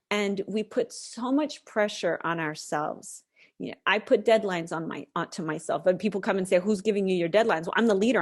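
A woman with an American accent talks in a normal speaking voice at medium pitch, her intonation lively. Her pace is fairly quick, with hardly any pauses. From United States. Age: 40s. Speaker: novelist and mental health advocate. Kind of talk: interview conversation.

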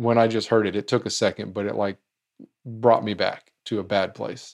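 The pace here is fairly quick. A man speaks in a medium pitch. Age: 40s. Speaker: music trivia podcast host. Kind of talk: casual monologue. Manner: animated.

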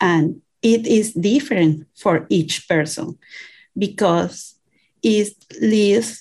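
A woman speaks with a Venezuelan accent at a very slow pace. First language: Spanish. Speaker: immigrant. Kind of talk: interview. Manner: halting.

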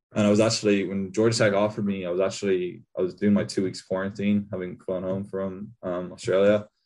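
With a Kerry accent, a man speaks at a fairly quick pace in a fairly low pitch, his dark, mellow tone and monotone, flat intonation set against a quiet background. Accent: Kerry Irish. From Ireland, County Kerry. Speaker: college football punter. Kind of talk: interview.

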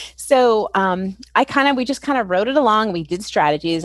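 A plain, everyday voice at a fairly quick pace with lively intonation. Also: woman. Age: 40s. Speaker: special education expert. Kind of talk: interview.

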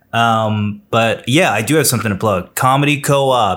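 This is a normal speaking voice. The intonation stays fairly even. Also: man. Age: 30s. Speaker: comedian. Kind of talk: casual chat.

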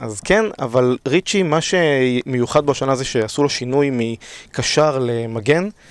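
Speaking at a medium pitch, a man keeps a fairly slow pace and shows ordinary pitch variation. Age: 30s. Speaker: fantasy league champion. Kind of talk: casual chat. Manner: hesitant with fillers.

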